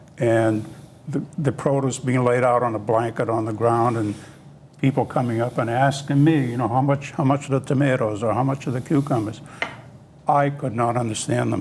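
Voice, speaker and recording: A man at a medium pitch and a moderate pace, with fairly even intonation, over noticeable background noise. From Italy, Abruzzo; grew up in Massachusetts. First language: Italian (Abruzzese dialect). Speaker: interview guest, former grocery worker. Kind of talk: interview reminiscence. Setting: TV studio. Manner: halting, many fillers.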